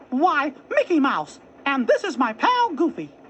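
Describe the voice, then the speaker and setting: A put-on character voice, high in pitch, moves along at a moderate pace. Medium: read story.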